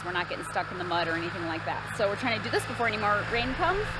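The sound is dry, with no echo. Noticeable background noise runs throughout. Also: woman. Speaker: farmer vlogger. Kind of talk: casual vlog chat. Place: farm machine. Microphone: phone near.

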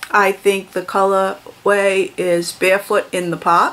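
A woman is speaking here. She goes at a very slow pace. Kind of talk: casual vlog chat. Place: home room. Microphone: phone near.

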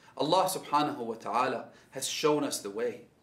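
There is audible room echo as a man talks at a moderate pace. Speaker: speaker. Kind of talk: sermon. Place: home room.

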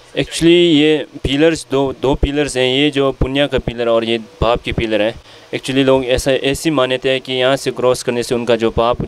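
A man is speaking. The sound is dry with no echo, with light background noise. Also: fairly even intonation, moderate pace. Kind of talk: interview answer. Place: church. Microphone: handheld.

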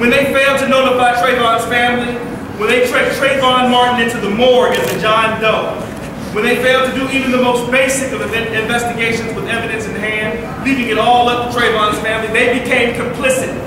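A man's fairly quick voice, with strong room echo and noticeable background noise. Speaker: rally speaker. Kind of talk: rally speech.

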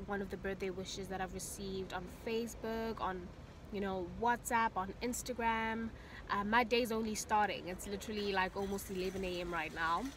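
The speech runs at a moderate pace with monotone, flat intonation. There is noticeable background noise, and the sound is dry with no echo. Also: woman. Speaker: vlogger. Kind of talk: casual vlog chat. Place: car. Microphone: phone near.

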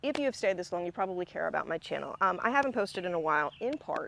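Very wide pitch swings mark this very fast speech, heard dry with no echo over light background noise. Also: woman. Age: 40s. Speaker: music commentary youtuber. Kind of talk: video essay monologue. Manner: conversational, filler words. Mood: earnest, personal confession. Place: garden.

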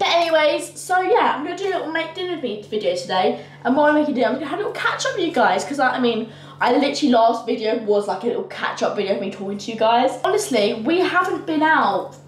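A woman's high-pitched voice at a very fast pace, with audible room echo. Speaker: vlogger. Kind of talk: casual vlog chat. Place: kitchen. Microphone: camera far.

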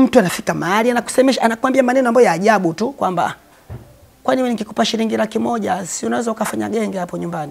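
A man talks very fast in a high-pitched voice. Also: ordinary pitch variation. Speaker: Islamic preacher. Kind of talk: sermon. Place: home room. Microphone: lapel.

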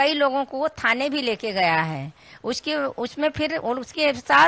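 Very wide pitch swings mark this very slow delivery, its tone bright and sharp and the sound dry with no echo. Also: woman. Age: old. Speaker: ashram devotee alleging threats; news interviewee. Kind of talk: interview testimony. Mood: earnest, complaining. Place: home room. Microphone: handheld.

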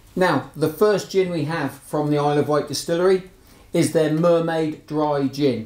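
Male speech at a moderate pace with fairly even intonation and audible room echo. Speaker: gin reviewer. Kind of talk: product review talk. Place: shop.

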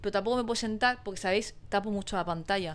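A woman talks at a very fast pace. Her pitch is medium and her intonation fairly even. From Spain. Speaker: YouTuber. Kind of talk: casual chat. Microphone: lapel.

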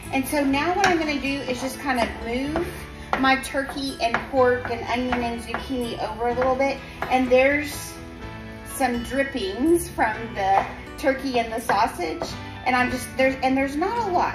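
Clear music plays behind a woman who speaks at a moderate pace with a high pitch and ordinary pitch variation. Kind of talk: cooking tutorial. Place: kitchen. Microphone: phone near.

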